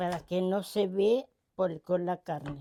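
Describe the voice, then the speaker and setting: Very slowly, a woman speaks at a medium pitch in a dark, mellow tone. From Argentina, Volga German village (Pueblo Santa María). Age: 80s+. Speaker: home cook. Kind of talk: cooking demonstration with reminiscences. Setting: home kitchen. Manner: halting, with repetitions and fillers.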